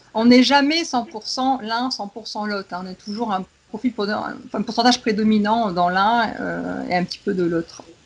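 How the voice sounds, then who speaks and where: Over noticeable background noise, a woman speaks with hardly any pauses. Her pitch is fairly high, with ordinary variation. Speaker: education consultant, specialized educator. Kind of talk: casual expert discussion. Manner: fast.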